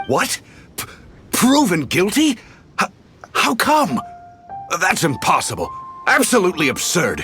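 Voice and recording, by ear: A man uses a put-on character voice, pitched high, with very wide pitch swings and a bright, sharp tone roughened by a husky edge. He goes at a fairly slow pace while faint music plays in the background.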